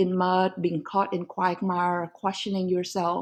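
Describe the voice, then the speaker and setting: At a fairly slow pace, the speaker talks with a Vietnamese accent in a dark, mellow tone. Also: woman. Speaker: law professor and author. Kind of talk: podcast interview.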